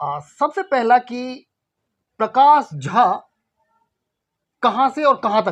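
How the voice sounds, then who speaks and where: The speaker, in a Bihar accent, leaves long, frequent pauses. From Bihar, India. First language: Maithili (speaking Hindi). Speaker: interviewer. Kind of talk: interview.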